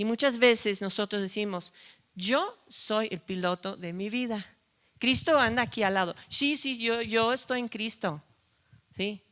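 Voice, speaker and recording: A woman's medium-pitched voice with a non-native accent, a bright, sharp tone and a fairly slow pace. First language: not Spanish (speaking Spanish). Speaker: preacher. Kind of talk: sermon.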